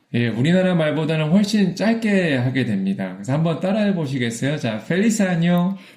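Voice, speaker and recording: Over noticeable background noise, a man with a fairly high voice speaks at a fairly quick pace with very wide pitch swings and hardly any pauses. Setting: radio broadcast. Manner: friendly, presenting.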